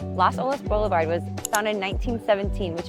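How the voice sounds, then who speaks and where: Music plays in the background as a woman speaks. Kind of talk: casual talk to camera, tour vlog. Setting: outdoors, on-location tour.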